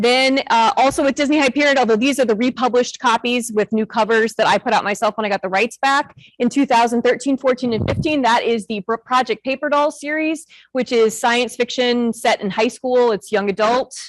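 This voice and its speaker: With a Midwestern American accent, a woman talks loudly at a high pitch and a fairly quick pace, her pitch varying in an ordinary way, with hardly any pauses and a dry, close sound with no echo. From northern Illinois. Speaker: author and school librarian. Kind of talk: talk to an audience. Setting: stage with audience. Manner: fast.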